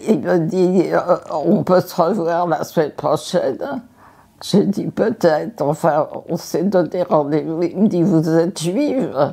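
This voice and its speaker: Very slow speech comes in a dark, mellow tone with ordinary pitch variation. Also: woman, fairly low pitch for a woman. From Paris, France. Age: 80s+. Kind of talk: interview answer.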